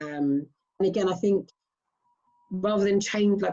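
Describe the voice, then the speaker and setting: A woman's voice with a dark, mellow tone and fairly even intonation. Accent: southern English. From Southeast England. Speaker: strongwoman athlete. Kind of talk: interview.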